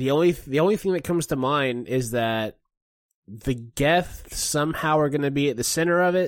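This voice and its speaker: On a very clean recording with a silent background, the speech moves at a moderate pace with lively intonation. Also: man. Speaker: co-host gaming buddy. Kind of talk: casual chat. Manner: hesitant, filler words.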